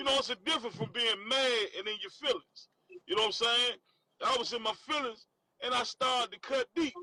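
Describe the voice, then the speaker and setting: A man with a Southern accent speaks in a raised, projected voice at an extremely high pitch, the sound dry and close with no echo. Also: ordinary pitch variation, fairly quick pace. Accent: Southern-sounding, country. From Washington, D.C. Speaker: former prisoner. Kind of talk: casual interview chat.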